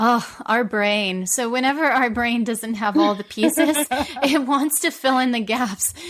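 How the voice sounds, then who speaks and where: Over background music, a woman uses a playful tone and lively intonation, speaking fairly slowly at a fairly high pitch. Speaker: sex and relationship therapist. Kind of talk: interview answer.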